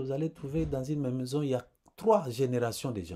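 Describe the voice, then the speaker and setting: Here a man speaks at a medium pitch with a dark, mellow tone. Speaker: preacher. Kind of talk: sermon. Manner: slow.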